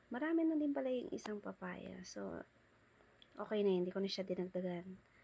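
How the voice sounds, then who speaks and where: Her voice has a dark, mellow tone at a medium pitch. The woman speaks at a fairly quick pace. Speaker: cooking vlogger. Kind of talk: cooking vlog voice-over. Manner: casual, chatty.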